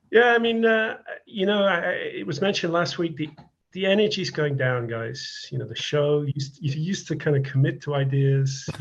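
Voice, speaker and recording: This man has a British accent and a fairly high pitch. He speaks at a moderate pace with lively intonation. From UK. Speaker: listener interviewer. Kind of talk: casual interview.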